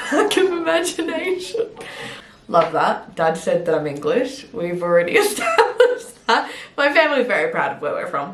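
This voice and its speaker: An animated woman speaks at a moderate pace in an Australian accent. The room echoes audibly, and there is noticeable background noise. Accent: fully Australian. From Adelaide, Australia. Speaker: fitness coach and bodybuilder. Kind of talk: casual chat.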